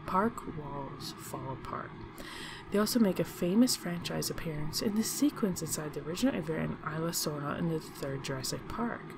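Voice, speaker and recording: Over noticeable background noise, a soft-spoken woman with a very deep, low pitch talks at a fairly quick pace with lively intonation. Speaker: YouTube channel host. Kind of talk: casual narration of a ranked list to camera.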